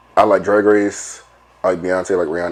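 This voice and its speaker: A man with a fairly low pitch speaks at a fairly quick pace. Noticeable background noise is present. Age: 30s. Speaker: podcast co-host. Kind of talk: casual chat.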